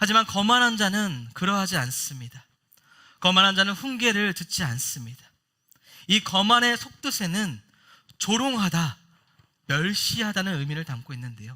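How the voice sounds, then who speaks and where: A man's high, raised and projected voice, bright and sharp in tone, with very wide pitch swings, a moderate pace, and long, frequent pauses. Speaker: pastor. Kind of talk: sermon. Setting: church.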